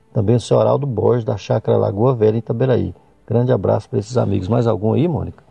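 A man speaks at a very fast pace and a fairly low pitch. His loudness is very even, and his pitch varies in an ordinary way. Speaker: radio host. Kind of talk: radio show presenting.

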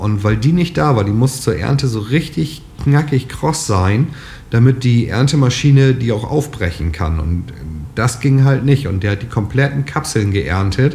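This man has a normal speaking voice at medium pitch, talking at a moderate pace with lively intonation. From northern Lower Saxony, Germany. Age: 30s. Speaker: farmer. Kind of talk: interview.

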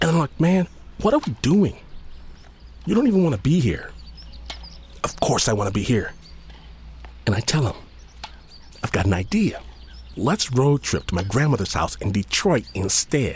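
A man speaks at a moderate pace in an animated, playful tone with very wide pitch swings. His loudness stays very even, broken by long, frequent pauses. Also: medium pitch for a man. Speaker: storyteller. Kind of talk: storytelling, personal anecdote told in first person with comic asides and laughter. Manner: animated, wry and playful, voicing other characters in dialogue; conversational, casual slang, humorous and self-mocking.

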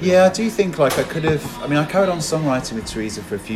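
A man talking at a very fast pace with very wide pitch swings, amid audible room echo and noticeable background noise. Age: 40s. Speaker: DJ and podcaster. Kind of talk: casual chat. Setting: in person.

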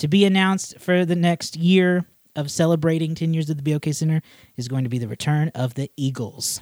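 A man's fairly high, fairly quick voice, a normal speaking voice with ordinary pitch variation, in a dry, close sound with no echo. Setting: studio.

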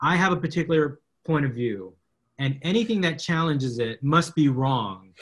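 The voice has an American accent and is somewhat breathy. Its intonation is lively. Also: man, fairly high pitch for a man, moderate pace. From South Texas, McAllen. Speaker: media law professor. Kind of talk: interview conversation.

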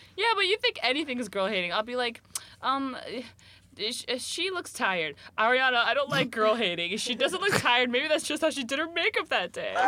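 With an American accent, a woman projects a raised, high-pitched voice at a fairly quick pace, her pitch swinging very widely over noticeable background noise. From US. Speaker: podcast host. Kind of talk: casual chat.

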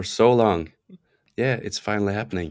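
A man with a Norwegian accent on a very clean recording with a silent background. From Norway; small island, Norway. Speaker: singer-songwriter and producer. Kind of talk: casual interview chat.

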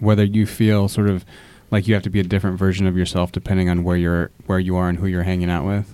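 On a very clean recording with a silent background, a man with a Midwestern accent speaks in a very deep, low voice with a dark, mellow tone and fairly even intonation. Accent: general American, Midwestern. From Fort Wayne, Indiana. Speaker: teacher and podcast host. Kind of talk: moderated discussion. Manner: hesitant, many fillers.

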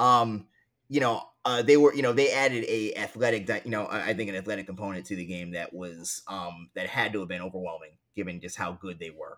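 At a fairly quick pace, a man with an ordinary speaking voice and an American accent talks in a fairly low pitch, with ordinary pitch variation and big swings in loudness. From New York City (Queens). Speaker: sports journalist. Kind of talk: interview conversation.

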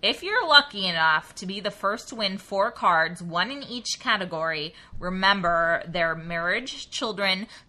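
A woman speaks at a medium pitch with ordinary pitch variation and a fairly slow pace. Noticeable background noise sits behind her. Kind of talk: casual comedic chat.

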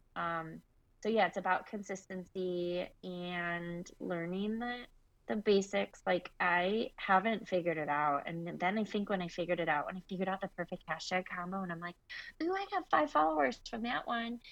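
At a moderate pace, a woman with an American accent talks in a normal speaking voice, with a medium pitch and ordinary pitch variation. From Michigan, US Midwest. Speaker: interior designer and business owner. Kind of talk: interview.

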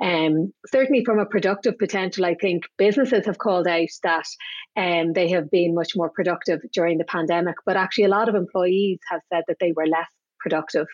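In an Irish accent, a woman speaks at a fairly quick pace and a medium pitch, with ordinary pitch variation and very even loudness. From Ireland. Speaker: business executive. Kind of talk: casual interview.

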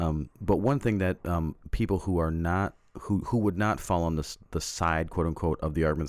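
A man with a very deep, low pitch, ordinary pitch variation and a fairly quick pace. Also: very clean recording, silent background. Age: 40s. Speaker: podcast co-host. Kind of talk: casual discussion.

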